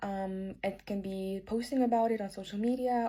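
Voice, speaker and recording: In a very clean recording with a silent background, a woman speaks at a medium pitch. Her tone is dark and mellow, with a non-native accent. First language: not English. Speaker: video creator giving career advice. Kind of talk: vlog-style advice talk. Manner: casual, conversational with fillers.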